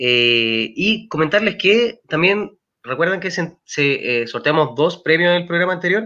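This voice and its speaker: A man talks in a high, bright, sharp voice. He has lively intonation and a fairly slow pace. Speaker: football fan podcast host. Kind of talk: casual chat. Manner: animated.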